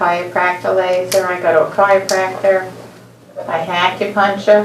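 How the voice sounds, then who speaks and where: At a moderate pace, a woman talks amid noticeable background noise and audible room echo. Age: 70s. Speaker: patient. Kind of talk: consultation with doctor.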